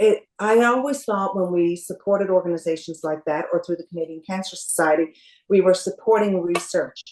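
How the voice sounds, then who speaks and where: Fairly quick and at a medium pitch, a woman talks in an unremarkable speaking voice with ordinary pitch variation. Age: 60s. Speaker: cancer survivor. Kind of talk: interview. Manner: calm.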